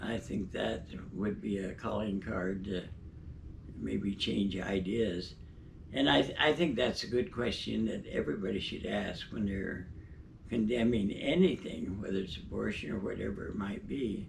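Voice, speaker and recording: Amid audible room echo, a man with vocal fry speaks at a moderate pace in a fairly low pitch with ordinary variation. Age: 90s. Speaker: retired obstetrician. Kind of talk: interview. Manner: halting.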